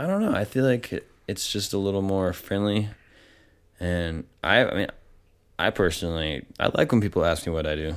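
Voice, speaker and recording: In a very clean recording with a silent background, a man with an American accent uses a normal speaking voice, fairly low in pitch with ordinary variation, at a moderate pace. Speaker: photographer and gallery owner. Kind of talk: casual interview chat.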